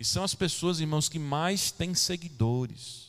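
The speech moves very slowly. Its intonation is lively. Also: man. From São Paulo, Brazil. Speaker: pastor. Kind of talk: sermon. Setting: church.

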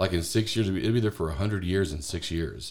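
A man's very deep, low, somewhat breathy voice with ordinary pitch variation. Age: 40s. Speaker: podcast co-host, father. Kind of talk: casual chat.

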